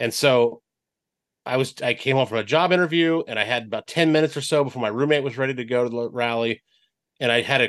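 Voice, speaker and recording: The background is quiet. A man talks at medium pitch with ordinary pitch variation. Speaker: radio sports reporter. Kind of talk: casual sports chat.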